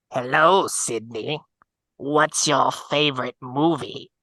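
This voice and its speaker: This raspy put-on character voice sits at a low-to-middle pitch and moves at a fairly slow pace. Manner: menacing.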